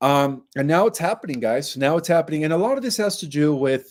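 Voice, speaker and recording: A man speaks at a moderate pace, captured on a very clean recording against a silent background. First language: Spanish. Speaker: online conspiracy commentator. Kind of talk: casual monologue to viewers. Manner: filler-heavy, frequent 'right' and 'okay'.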